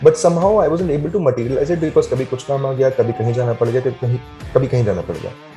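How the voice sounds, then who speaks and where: Over music in the background, a man talks at a medium pitch with lively intonation. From Delhi, India. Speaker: photographer and traveller. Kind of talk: radio interview answer. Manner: conversational, reflective, Hindi-English code-mixing.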